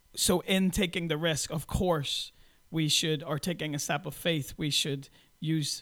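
A man talks with a Northern Irish accent and fairly even intonation. The recording is very clean and the background silent. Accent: Northern Irish (Belfast). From Northern Ireland (Belfast). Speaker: pastor. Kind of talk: interview.

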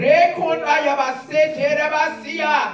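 Delivered at a fairly slow pace, the voice carries an intense tone over noticeable background noise. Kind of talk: fervent prayer, including speaking in tongues, then decrees of spiritual warfare. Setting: prayer call. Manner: intense, rhythmic, pleading, rising into commanding declarations.

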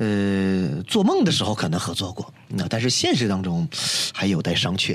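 Pitch moves in an ordinary way. The delivery holds a moderate pace. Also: man, fairly low pitch for a man. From Northeast China. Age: young. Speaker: singer and musician. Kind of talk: casual interview.

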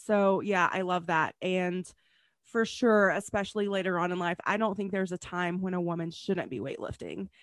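In an ordinary speaking voice at medium pitch, a woman talks at a moderate pace with fairly even intonation over a quiet background. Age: 40s. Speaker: podcast host, pharmacist and health coach. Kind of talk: casual interview chat.

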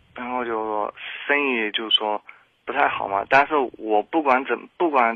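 Medium-pitched man's voice with ordinary pitch variation. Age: 20s. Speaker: caller to advice radio show. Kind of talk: personal story on call-in advice show. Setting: phone call. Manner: halting, many fillers.

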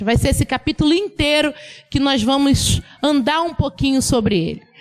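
Music plays behind a woman speaking at a fairly slow pace. Her pitch is high and her intonation is lively. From Bahia, Brazil (Ilhéus). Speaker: preacher. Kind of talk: sermon.

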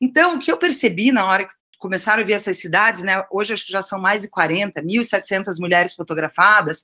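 A woman with a Curitiba accent speaks at a moderate pace with lively intonation and a bright, sharp tone. The recording is very clean, with a silent background. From Curitiba, southern Brazil. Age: 40s. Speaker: writer. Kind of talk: interview.

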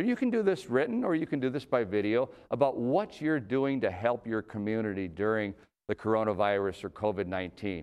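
Over a quiet background, a man with an Upper Midwest accent talks at a fairly quick pace. His pitch is medium and his intonation lively. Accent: Upper Midwest American. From Minnesota. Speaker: city mayor. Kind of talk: annual address speech. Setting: virtual broadcast. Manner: hesitant with many fillers.

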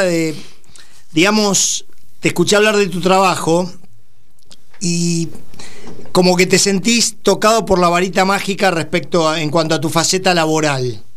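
A man with a Rioplatense accent and a high pitch talks at a fairly slow pace with ordinary pitch variation, amid noticeable background noise and audible room echo. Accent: Argentine Rioplatense Spanish. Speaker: radio host. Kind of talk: radio interview.

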